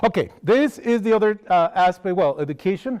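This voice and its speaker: A man speaks with a Costa Rican accent at a moderate pace. His pitch varies in an ordinary way. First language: Spanish. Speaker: wildlife outreach coordinator. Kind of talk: lecture. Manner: halting.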